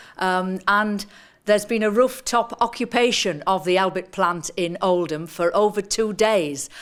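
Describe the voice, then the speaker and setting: A woman with a northern English accent speaks at a fairly slow pace, her medium pitch moving with ordinary variation. The recording is very clean, with a silent background. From northern England. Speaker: activist and politician. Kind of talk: seminar talk. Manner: halting, many fillers.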